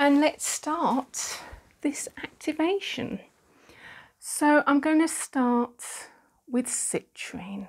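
Against a quiet background, a soft-spoken voice with a calm tone and lively intonation moves at a very slow pace with long, frequent pauses. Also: woman, high pitch for a woman. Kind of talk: guided Reiki meditation, ASMR healing session. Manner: soft-spoken, slow, calm. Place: home room. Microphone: phone near.

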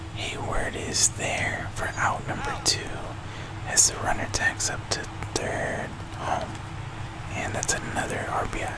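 A man speaks at a fairly slow pace with long, frequent pauses. Loud background noise runs underneath. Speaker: video game streamer / YouTuber. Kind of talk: live play-by-play style gameplay commentary. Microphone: studio mic.

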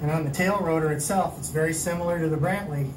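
Against noticeable background noise, a man talks with fairly even intonation. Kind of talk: tutorial. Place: street.

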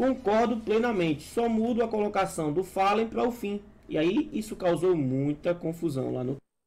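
Very wide pitch swings mark speech that goes at a moderate pace. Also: man, high pitch for a man. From interior of Bahia, Brazil. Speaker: gaming gossip news presenter. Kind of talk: gossip news reading.

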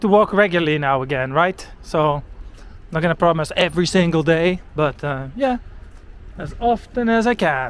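A man with a Dutch accent speaks at a moderate pace and a high pitch. His intonation is lively. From Netherlands. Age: 40s. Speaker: walking-tour vlogger. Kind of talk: casual vlog narration while walking. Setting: outdoors, walking in rain.

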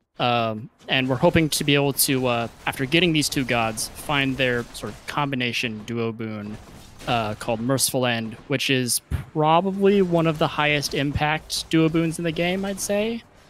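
Music plays in the background. A man speaks with lively intonation at a fairly high pitch. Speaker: speedrun commentator. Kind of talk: live commentary.

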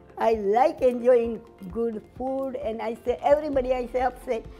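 There is faint music in the background as a woman speaks at a moderate pace. Her voice is high-pitched, with ordinary pitch variation. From Gujarat, India; raised in Uganda. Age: 80s+. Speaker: head chef, restaurant owner. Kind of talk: interview answer. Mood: warm, cheerful, animated. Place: cafe. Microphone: lapel.

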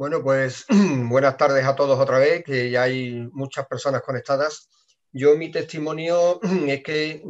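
A man with a fairly high pitch talks at a fairly slow pace, his intonation fairly even over a quiet background. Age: 50s. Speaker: team member giving testimony. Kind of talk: testimony. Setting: video call. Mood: calm, personal. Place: office. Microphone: webcam.

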